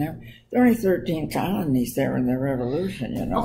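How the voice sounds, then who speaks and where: A woman with a very deep, low pitch speaks over light background noise. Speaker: storyteller on history. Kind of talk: casual talk about history. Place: home room. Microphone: webcam.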